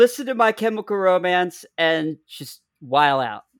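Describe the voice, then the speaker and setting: On a very clean recording with a silent background and a dry, close sound with no echo, a man talks at a high pitch with very wide pitch swings. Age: 40s. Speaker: musician. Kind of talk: casual chat.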